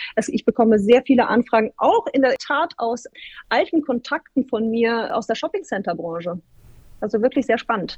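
A woman speaks at a moderate pace with lively intonation in a normal speaking voice. The sound is dry and close, with no echo. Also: fairly high pitch for a woman. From northern Germany (Bremen). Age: 30s. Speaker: data center industry executive. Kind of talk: interview.

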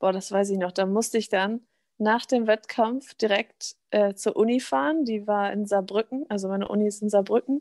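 The woman's pace is moderate and her fairly high voice has ordinary pitch variation. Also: dry, close sound with no echo. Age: 20s. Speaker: bodybuilding figure athlete. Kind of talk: casual chat. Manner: animated.

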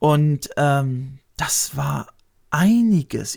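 Here a man speaks at a fairly high pitch. His voice is somewhat breathy. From Lower Saxony, Germany. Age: 50s. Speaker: YouTuber. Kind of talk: casual interview.

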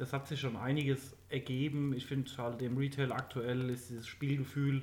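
Somewhat breathy and medium-pitched, a man talks at a moderate pace. His intonation is monotone and flat. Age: late 20s. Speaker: podcast co-host, gamer. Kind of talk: casual chat.

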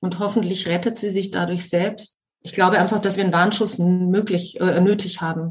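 At a moderate pace, a woman of medium pitch talks in a flat monotone. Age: 50s. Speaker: podcast host, actress and yoga teacher. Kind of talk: casual chat. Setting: video call.

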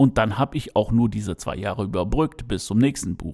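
In a very clean recording with a silent background, a man speaks with a dark, mellow tone. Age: 50s. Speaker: podcaster and aspiring writer. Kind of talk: solo podcast monologue. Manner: hesitant, many filler sounds.

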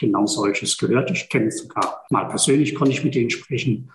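A man speaks at a fairly quick pace in a somewhat breathy voice with fairly high pitch. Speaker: energy work practitioner. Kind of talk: podcast interview.

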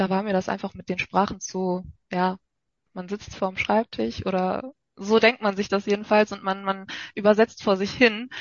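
A woman speaks. Her pitch is medium. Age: 20s. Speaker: nursing trainee. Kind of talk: casual chat. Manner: hesitant, many filler sounds.

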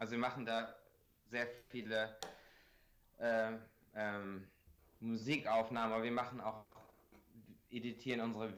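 Monotone and flat in intonation, a man speaks at medium pitch. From Bremen, northern Germany. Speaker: music producer and content creator. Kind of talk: casual chat. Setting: Skype call.

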